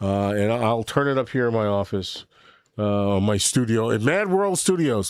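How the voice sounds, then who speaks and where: This man has a plain, everyday voice at a medium pitch, with an American accent and a moderate pace. The recording is very clean, with a silent background. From New York. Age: 60s. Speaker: livestream host. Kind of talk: casual live stream chat. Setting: home studio. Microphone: new microphone.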